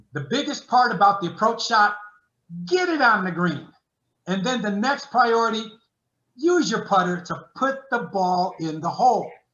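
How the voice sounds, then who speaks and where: A man talks at a moderate pace with a high pitch, an animated tone and lively intonation. Long, frequent pauses break up his speech, and audible room echo surrounds it. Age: 70s. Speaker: sports psychologist. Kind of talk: webinar lecture.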